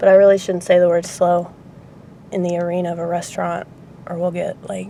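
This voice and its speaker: A woman speaks in a flat, monotone way. Background noise is noticeable behind her. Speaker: restaurant worker. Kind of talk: casual talk to camera, vlog. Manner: rambling, sarcastic, opinionated.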